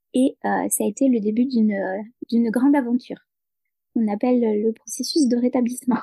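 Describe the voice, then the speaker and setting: A woman's high-pitched voice with a dark, mellow tone, very even loudness and a fairly quick pace broken by long, frequent pauses, in a dry, close sound with no echo. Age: 30s. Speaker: peer support worker and novelist. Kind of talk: interview. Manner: halting.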